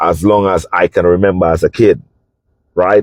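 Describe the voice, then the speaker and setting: An animated man with a Saint Lucian accent, in a dry, close sound with no echo. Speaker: podcast host, travel business owner. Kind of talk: casual monologue podcast. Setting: in a parked vehicle.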